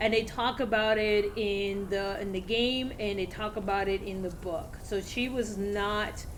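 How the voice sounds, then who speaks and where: Speaking at a fairly slow pace in a Spanish accent, a woman with a fairly high pitch keeps her intonation fairly even amid audible room echo. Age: 40s. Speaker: video game streamer. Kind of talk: casual gameplay commentary. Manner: halting, many fillers.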